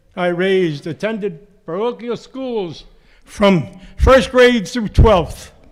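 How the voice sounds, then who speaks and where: Crowd noise fills the background. A man speaks in a high pitch at a very slow pace. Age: 80s+. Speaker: town resident speaking at public meeting. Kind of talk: public meeting comment. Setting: school auditorium town meeting.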